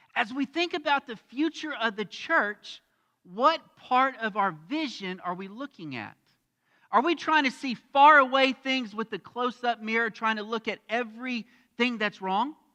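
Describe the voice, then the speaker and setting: The voice is raised and projected, with a bright, sharp tone, an American accent and ordinary pitch variation. Delivery is at a moderate pace, in a dry, close sound with no echo. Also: man, extremely high pitch for a man. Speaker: pastor. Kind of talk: sermon. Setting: church. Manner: loud.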